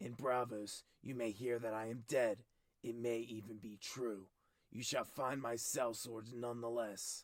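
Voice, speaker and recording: Using a put-on character voice, a man speaks at a medium pitch and moderate pace with monotone, flat intonation. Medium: read story. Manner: curt, clipped, severe.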